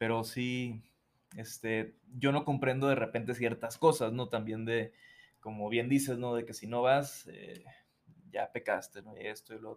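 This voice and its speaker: A man's voice at a medium pitch, a plain, everyday voice, fairly slow in pace with fairly even intonation and big swings in loudness. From Mazatlán, Sinaloa, Mexico. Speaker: musician. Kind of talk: casual interview chat.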